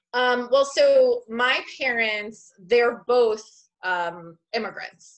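A woman with an American accent speaks at a very slow pace and a high pitch. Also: ordinary pitch variation. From Long Island, New York. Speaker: art therapist and business owner. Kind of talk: interview.

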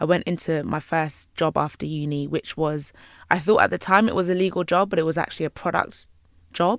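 Speaking with a London accent, a woman moves at a fairly quick pace with fairly even intonation. The recording is very clean, with a silent background. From London, Jamaican heritage. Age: 20s. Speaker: YouTuber and interior designer. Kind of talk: interview.

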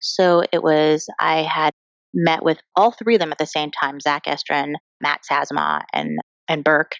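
A woman's very deep, low voice with vocal fry and an American accent, at a fairly slow pace with ordinary pitch variation. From US, Colorado (small town, Chinese American family). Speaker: TV writer. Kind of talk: interview.

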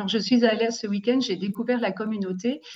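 At a moderate pace, a woman speaks in a somewhat breathy, fairly high voice. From Switzerland, Valais (Saillon). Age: 50s. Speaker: pastoral worker. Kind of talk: testimony.

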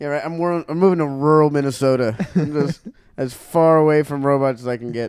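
A man speaks in an ordinary speaking voice, fairly high-pitched for a man, at a moderate pace with fairly even intonation. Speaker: stand-up comedian and podcaster. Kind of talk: casual joking banter. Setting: studio in Los Angeles.

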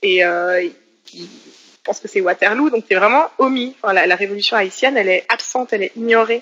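Talking at a fairly quick clip, a woman uses a bright, sharp tone, a fairly high pitch and ordinary pitch variation. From Switzerland, Geneva. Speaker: political science lecturer and activist. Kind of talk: interview. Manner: halting.

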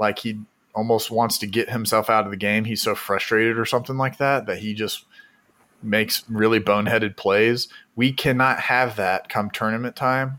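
Here a man speaks at a moderate pace in a medium pitch. His tone is bright and sharp. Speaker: podcast host. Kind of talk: casual chat. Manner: animated.

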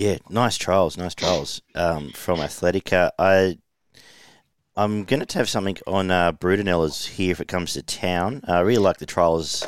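A man's very deep, low voice with an Australian accent, dry and close with no echo. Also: ordinary pitch variation, moderate pace, very clean recording, silent background. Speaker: horse racing tipster podcast host. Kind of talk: casual racing tips chat.

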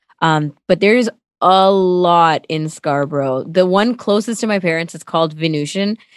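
A woman speaks with a Toronto accent and ordinary pitch variation. Her moderate pace comes through a dry, close sound with no echo. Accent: Canadian, Toronto. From Toronto, Canada (born in Sri Lanka). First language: Tamil. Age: 20s. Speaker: radio co-host. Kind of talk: interview, casual chat. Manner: animated.

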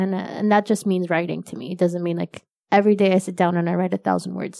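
A woman speaks at a medium pitch with an Arabic accent, her tone dark and mellow. Her delivery is flat and monotone at a fairly quick pace, recorded dry and close with no echo. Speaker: corporate employee and novelist. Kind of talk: interview. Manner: casual, with fillers and false starts.

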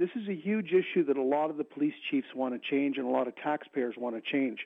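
With an ordinary speaking voice, a man talks at a fairly quick pace, his pitch fairly high and its variation ordinary. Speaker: caller. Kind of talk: call-in announcement. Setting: phone call.

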